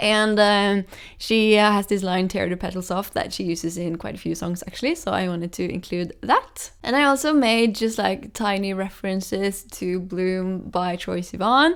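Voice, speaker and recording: A woman speaks with a Norwegian accent at a medium pitch. Her pace is moderate, with hardly any pauses. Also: ordinary pitch variation. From Norway. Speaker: singer-songwriter. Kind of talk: casual explanation of own song lyrics. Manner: hesitant, many fillers.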